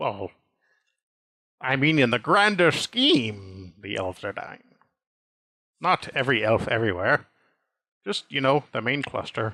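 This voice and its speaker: Putting on a character voice, a man talks at a medium pitch and a moderate pace. He leaves long, frequent pauses. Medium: actual play. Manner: vague, offhand.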